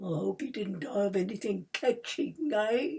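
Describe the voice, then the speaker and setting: A woman does a raspy put-on character voice, fairly high-pitched, with very wide pitch swings at a moderate pace. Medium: read story. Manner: sly, haggling.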